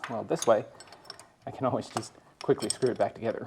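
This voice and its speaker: Noticeable background noise under a man's fairly quick speech. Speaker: mechanic restoring a tractor. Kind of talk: hands-on repair tutorial. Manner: casual, conversational.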